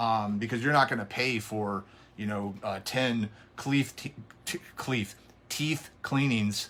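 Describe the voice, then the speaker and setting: Speaking at a very slow pace, a man with a medium pitch and a bright, sharp tone shows ordinary pitch variation. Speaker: fitness coach. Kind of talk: live stream business advice. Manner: halting, many fillers and repeats.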